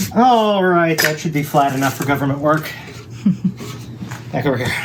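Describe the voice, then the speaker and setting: Lively intonation at a moderate pace, with noticeable background noise and audible room echo. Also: man, fairly high pitch for a man. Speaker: woodworking video maker. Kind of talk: casual build tutorial.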